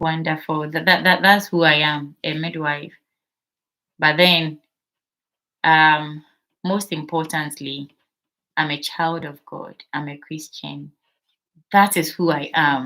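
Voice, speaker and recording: A woman with a Ghanaian accent speaks at a very slow pace, with long, frequent pauses and big swings in loudness. Her very deep, low voice has a bright, sharp tone and monotone, flat intonation on a very clean recording with a silent background. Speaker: midwife and channel host. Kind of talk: live stream Q&A. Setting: live stream on TikTok.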